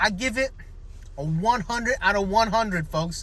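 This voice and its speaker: A man with an American accent speaks at a moderate pace in a raised, projected voice, his high pitch and animated tone carrying through. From New Jersey, Central Jersey. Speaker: fitness vlogger. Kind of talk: casual vlog.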